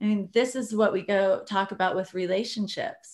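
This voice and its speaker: A woman's medium-pitched voice at a moderate pace. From Iowa, US Midwest. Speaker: high performance coach. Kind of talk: podcast interview. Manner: energetic, enthusiastic.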